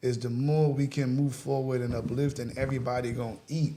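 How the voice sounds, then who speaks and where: Somewhat breathy, a man talks at a fairly quick pace with audible room echo. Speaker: rapper. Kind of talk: casual interview chat. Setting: studio.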